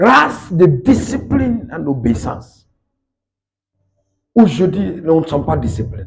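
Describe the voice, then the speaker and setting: A man with a fairly high pitch and vocal fry speaks at a very slow pace, with very wide pitch swings, big swings in loudness, and long, frequent pauses. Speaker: evangelist preacher. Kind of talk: sermon.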